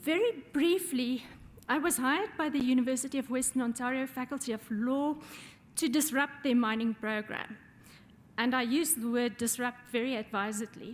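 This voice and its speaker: In a South African accent, a woman speaks at a high pitch. Her pitch varies in an ordinary way. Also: moderate pace. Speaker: law professor. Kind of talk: audience remarks.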